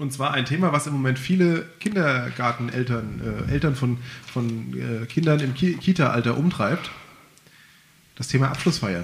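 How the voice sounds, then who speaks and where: Noticeable background noise under a man's moderate-paced speech, medium in pitch with ordinary pitch variation. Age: 30s. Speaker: local podcast host. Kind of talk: casual chat.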